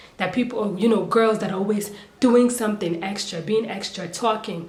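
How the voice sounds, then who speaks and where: Moderate pace and ordinary pitch variation amid noticeable background noise and audible room echo. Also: woman. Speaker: youtuber commentator. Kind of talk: casual commentary monologue. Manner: animated, rhetorical questions; some hesitations and stumbles.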